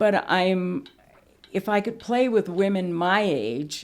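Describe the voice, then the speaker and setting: This woman's voice carries vocal fry. Her pitch varies in an ordinary way. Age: 70s. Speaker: senior athlete. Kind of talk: interview testimony.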